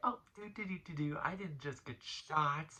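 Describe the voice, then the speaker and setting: A man's put-on character voice, fairly high-pitched for a man, at a moderate pace with big swings in loudness. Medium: solo performance. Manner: broken caveman grammar.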